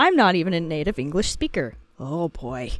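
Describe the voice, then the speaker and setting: A woman's fairly low voice with music in the background. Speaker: YouTuber reading Reddit posts. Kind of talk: reading aloud with commentary. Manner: deliberately paced, practiced speech; slow speaker by habit.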